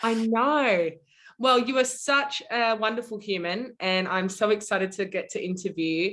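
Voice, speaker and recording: A woman with an Australian accent talks at a moderate pace against a quiet background. Her fairly high voice shows ordinary pitch variation. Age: 20s. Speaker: podcast host. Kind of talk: interview.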